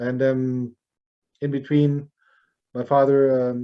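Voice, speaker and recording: A man with a German accent speaks at a medium pitch in a dark, mellow tone. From Germany. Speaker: jazz drummer. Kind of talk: interview. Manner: halting, many fillers.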